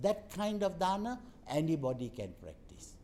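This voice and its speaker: This man's dark, mellow tone comes at a fairly slow pace. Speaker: Buddhist Dhamma speaker and educator. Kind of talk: Dhamma talk.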